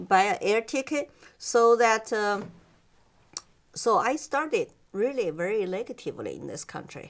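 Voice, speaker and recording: In a very clean recording with a silent background, a woman with a Chinese accent speaks at a moderate pace and a fairly high pitch, her intonation lively, her loudness swinging widely, and her pauses long and frequent. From China. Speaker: immigrant guest interviewee. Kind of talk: interview. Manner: halting, with many fillers.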